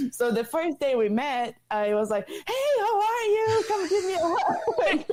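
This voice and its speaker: Through noticeable background noise, a woman with a Portuguese accent and an extremely high, energetic voice swings her pitch very widely at a fairly slow pace, her loudness very even. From Brazil. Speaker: former college soccer player, MBA student. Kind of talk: podcast interview. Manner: loud, energetic; halting, repeats words.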